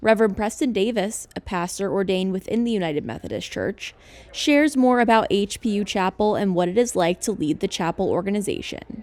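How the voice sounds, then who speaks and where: A woman's unremarkable speaking voice at a medium pitch, with ordinary pitch variation and a fairly quick pace. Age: 20s. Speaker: student news reporter. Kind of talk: news reporting. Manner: formal.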